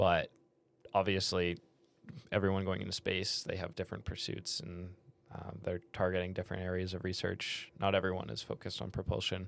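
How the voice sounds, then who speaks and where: With a Canadian accent, a man with a very deep, low voice and vocal fry talks at a fairly quick pace with fairly even intonation in a very clean recording with a silent background. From Canada. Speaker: podcast co-host, engineering student. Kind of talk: casual chat.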